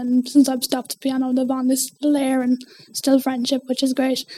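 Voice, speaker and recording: An Irish-accented woman speaks at a moderate pace with a high pitch and monotone, flat intonation. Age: 20s. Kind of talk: interview.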